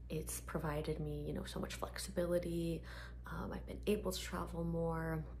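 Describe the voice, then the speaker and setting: A soft-spoken woman talks in a very deep, low voice with monotone, flat intonation. Her pace is moderate, and there is noticeable background noise. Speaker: ASMR artist; PR agency owner. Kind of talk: ASMR Q&A talk to camera.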